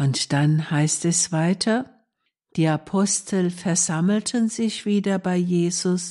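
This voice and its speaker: Very slowly, a woman talks in a fairly low, dark, mellow voice with a calm, soothing tone and ordinary pitch variation against a quiet background. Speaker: nun presenting a radio meditation. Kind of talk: reflective devotional talk. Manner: calm, soothing, gentle.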